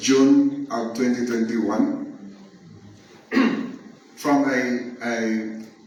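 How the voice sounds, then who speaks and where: Very slow, monotone, flat speech with long, frequent pauses over noticeable background noise. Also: man, medium pitch for a man. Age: 70s. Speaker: chemist and nurse. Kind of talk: testimonial talk to an audience.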